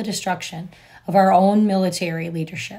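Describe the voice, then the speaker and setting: A woman is speaking, somewhat breathy. Her pitch varies in an ordinary way. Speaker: political commentary vlogger. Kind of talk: news commentary. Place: home room. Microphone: phone near.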